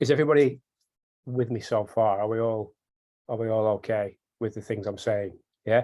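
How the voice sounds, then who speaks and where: A man with a northern British accent and a dark, mellow tone, medium pitch and fairly even intonation, at a moderate pace with long, frequent pauses, on a very clean recording with a silent background. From northern England. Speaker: software developer. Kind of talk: technical tutorial. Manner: repetitive, fillers.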